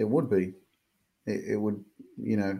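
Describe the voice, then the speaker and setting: A man with an Australian accent, a fairly low pitch and flat, monotone intonation. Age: 30s. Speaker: motivational life coach. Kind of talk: interview, personal story.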